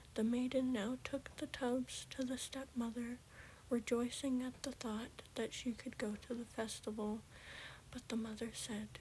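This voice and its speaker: Soft-spoken, this speaker moves along at a fairly slow pace. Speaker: ASMR creator. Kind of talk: fairy tale reading.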